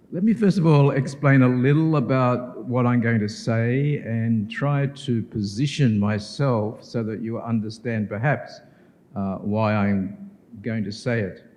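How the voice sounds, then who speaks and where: A man with an Australian accent speaks at a fairly slow pace, his medium-pitched voice rising and falling with ordinary pitch variation. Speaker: professor. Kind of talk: keynote lecture. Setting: conference hall with audience.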